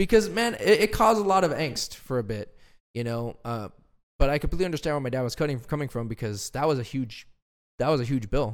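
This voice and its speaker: A fairly high-pitched man at a very fast pace with very wide pitch swings, in a very clean recording with a silent background. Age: 20s. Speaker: podcast co-host and aspiring pro wrestler. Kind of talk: casual chat. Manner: halting.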